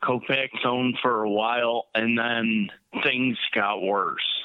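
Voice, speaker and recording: A man at a very slow pace. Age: 30s. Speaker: stem cell transplant patient with MS. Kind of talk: interview. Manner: halting.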